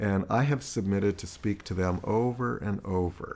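In an ordinary speaking voice, a man with a fairly low pitch talks at a moderate pace with ordinary pitch variation. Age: 50s. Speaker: sexologist and therapist. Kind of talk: interview conversation.

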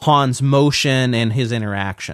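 Speaking at a fairly slow pace, a man with a medium pitch shows ordinary pitch variation. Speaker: podcast host and teacher. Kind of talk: casual chat. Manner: halting, with pauses.

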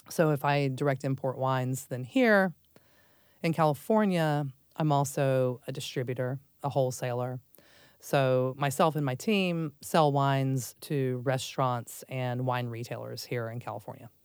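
In a very clean recording with a silent background, a woman with an American accent speaks at a very deep, low pitch, a moderate pace and ordinary pitch variation. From Texas, Dallas. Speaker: wine importer and distributor. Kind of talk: casual interview chat.

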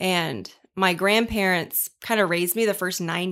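An unremarkable speaking voice delivers fairly even intonation at a moderate pace on a very clean recording with a silent background. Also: woman. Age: 30s. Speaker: podcast host. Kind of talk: casual chat.

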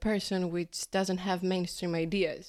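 Speaking at a fairly slow pace, a woman with a Greek accent holds a medium pitch. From Greece. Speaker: graduate student and primary school teacher. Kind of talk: casual interview. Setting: café.

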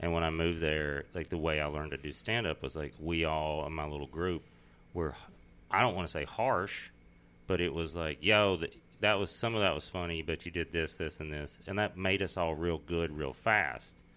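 In a very clean recording with a silent background, a man with a Texas accent speaks at a moderate pace, his very deep, low voice bright and sharp in tone. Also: ordinary pitch variation. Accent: Southern US, Texas. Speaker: comedian. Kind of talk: casual chat.

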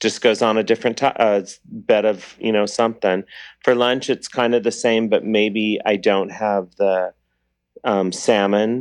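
Fairly low-pitched male voice, fairly slow and monotone with flat intonation, very even loudness, and a quiet background. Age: 50s. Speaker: caller. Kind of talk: call-in question.

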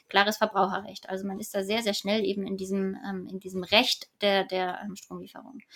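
This woman has an ordinary speaking voice and a medium pitch. She talks at a moderate pace. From Hamburg, northern Germany. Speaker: energy company department head. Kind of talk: expert interview.

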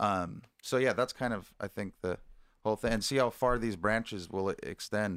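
A man uses a normal speaking voice with a fairly low pitch and fairly even intonation on a very clean recording with a silent background. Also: moderate pace. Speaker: musician, drummer. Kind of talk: casual chat.

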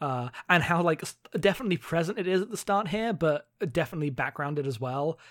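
In a British accent, the speaker talks at a very fast pace. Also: very clean recording, silent background. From Britain. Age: 20s. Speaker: podcast co-host. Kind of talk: casual chat.

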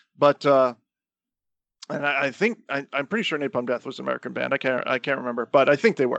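Over a quiet background, a man with a fairly high voice and vocal fry talks at a very fast pace with ordinary pitch variation, the sound dry and close with no echo. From Florida. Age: 40s. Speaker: podcast co-host. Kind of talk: casual chat.

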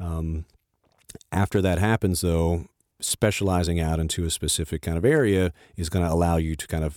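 A man's very deep, low voice with a dark, mellow tone, fairly even intonation and a moderate pace, in a dry, close sound with no echo and a very clean, silent background. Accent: American. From US South. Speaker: co-working space founder. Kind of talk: interview.

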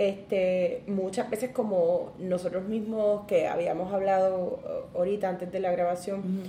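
Room echo is audible as a woman with a Puerto Rican accent speaks at a medium pitch. Her pace is fairly slow and her intonation monotone and flat. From Puerto Rico, Ponce. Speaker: seamstress. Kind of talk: casual chat.

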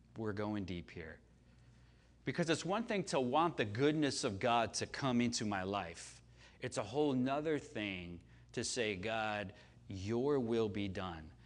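Speaking with an American accent, a man has a medium pitch and an animated tone. His pace is fairly slow, and there is audible room echo. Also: lively intonation. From US Midwest, Chicago. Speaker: pastor. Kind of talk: sermon. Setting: church service with audience.

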